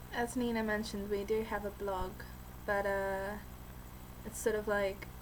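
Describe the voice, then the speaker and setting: A woman speaks at a fairly slow pace. Room echo and noticeable background noise are both audible. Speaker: vlogger. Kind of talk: casual vlog monologue. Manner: hesitant, many fillers; rambling.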